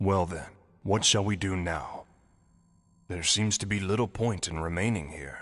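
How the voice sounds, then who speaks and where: A man's put-on character voice, very deep and low, at a moderate pace with long, frequent pauses against a quiet background. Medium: video game. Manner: cool, formal.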